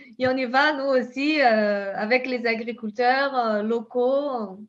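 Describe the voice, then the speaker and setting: In a Brazilian accent, a woman speaks very slowly at a high pitch with fairly even intonation. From southern Brazil (Pampa). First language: Portuguese (speaking French). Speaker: scientist and company founder. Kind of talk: interview. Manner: halting, many repetitions and fillers.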